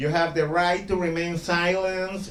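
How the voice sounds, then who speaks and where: Over noticeable background noise and audible room echo, a man with a Spanish accent speaks in a high pitch. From El Salvador. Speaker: stand-up comedian. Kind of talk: stand-up. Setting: stage with audience.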